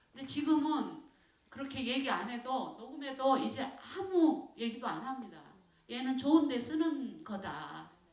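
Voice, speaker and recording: Audible room echo carries a woman's high-pitched voice with a Jeolla accent and very wide pitch swings. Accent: Jeolla dialect, retained. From South Korea, Jeolla (Sinan, Mokpo). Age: 60s. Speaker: poet. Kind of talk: audience talk with Q&A. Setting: stage with audience. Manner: halting, many fillers.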